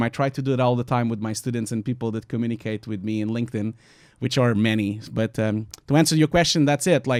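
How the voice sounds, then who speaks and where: A man with a Portuguese accent talks at a very fast pace with ordinary pitch variation in a very clean recording with a silent background. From Portugal. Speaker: visual effects artist. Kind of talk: panel discussion. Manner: talkative.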